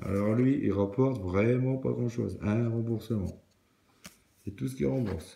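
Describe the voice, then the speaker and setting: Fairly slow speech from a man with a fairly low pitch and normal pitch movement. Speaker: scratch card video creator. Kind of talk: casual solo commentary.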